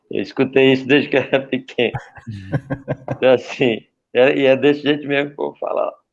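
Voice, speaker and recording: A man talks at a fairly quick pace in a monotone, flat voice with vocal fry. Long pauses break up his speech often. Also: medium pitch for a man. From Paraíba, Brazil (Campina Grande). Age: 40s. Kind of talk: testimony.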